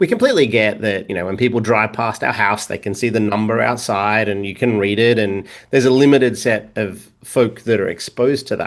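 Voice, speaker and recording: Speech in an Australian accent runs at a fairly quick pace with hardly any pauses. The intonation stays fairly even. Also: man, fairly low pitch for a man. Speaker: data governance expert. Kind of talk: podcast interview. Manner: halting, many fillers and repeats.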